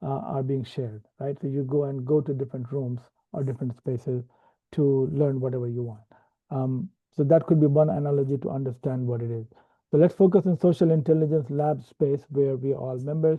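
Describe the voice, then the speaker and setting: The speaker has a non-native accent and ordinary pitch variation. The pace is fairly quick. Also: man, fairly high pitch for a man. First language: not English. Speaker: software developer and platform trainer. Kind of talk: tutorial. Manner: hesitant, many fillers.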